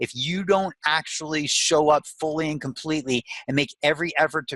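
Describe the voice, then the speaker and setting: A man speaks in a bright, sharp, animated and enthusiastic tone, with a dry, close sound and no echo. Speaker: motivational speaker and life coach. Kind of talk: podcast interview. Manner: enthusiastic and emphatic.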